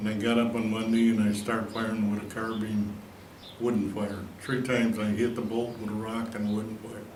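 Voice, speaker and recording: A man's medium-pitched voice in a monotone, flat intonation, with audible room echo and noticeable background noise. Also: moderate pace. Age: 80s+. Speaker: war veteran. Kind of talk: testimony. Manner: halting.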